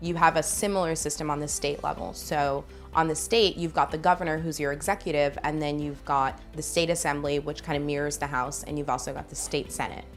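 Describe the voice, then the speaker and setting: A woman with an American accent and a very deep, low voice talks fairly quickly with hardly any pauses and fairly even intonation, music playing in the background. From South Bronx, New York. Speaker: political candidate. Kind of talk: interview answer.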